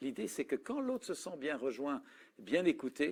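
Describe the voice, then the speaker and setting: Very clean recording with a silent background, a man's voice alone. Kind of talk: talk on communication and listening.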